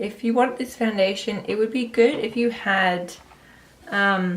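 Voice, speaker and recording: At a fairly slow pace, a woman speaks in a fairly high, somewhat breathy voice with ordinary pitch variation. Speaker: beauty vlogger. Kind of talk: product review. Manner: casual.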